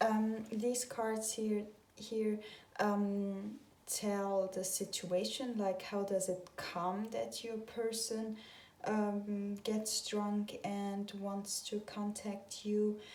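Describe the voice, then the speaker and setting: In a room with audible echo and noticeable background noise, a woman with a fairly high pitch talks at a very slow pace. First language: not English. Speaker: tarot reader. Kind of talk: tarot reading video monologue. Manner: hesitant, many filler sounds.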